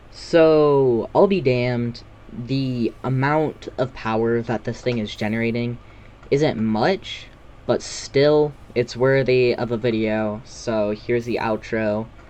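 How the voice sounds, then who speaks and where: The man speaks at a very slow pace. His pitch sits in the medium range with ordinary variation. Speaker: gaming youtuber. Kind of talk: gameplay voiceover commentary. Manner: casual, hesitant with fillers.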